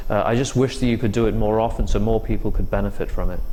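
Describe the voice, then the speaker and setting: Over noticeable background noise, a man talks with an English accent. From England. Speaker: interventional cardiologist. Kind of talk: interview. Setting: medical conference. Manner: hesitant, many fillers.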